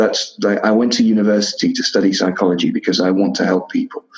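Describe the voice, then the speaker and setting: A man is talking at a moderate pace while music plays behind him. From Czech Republic, southern Moravia. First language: Czech. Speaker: podcaster, psychology graduate. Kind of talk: personal testimony in interview. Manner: halting, many repetitions and fillers.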